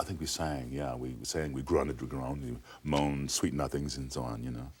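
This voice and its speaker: A man at a very deep, low pitch, fairly quick pace and fairly even intonation. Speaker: actor. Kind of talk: interview answer. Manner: slight stutter, hesitant.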